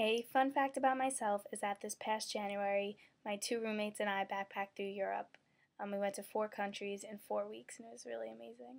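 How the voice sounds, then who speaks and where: Speaking with a Brooklyn accent, the voice moves at a fairly quick pace with lively intonation and big swings in loudness. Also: woman, medium pitch for a woman. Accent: New York (Brooklyn). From Brooklyn, New York. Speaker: university student. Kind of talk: candidate video statement.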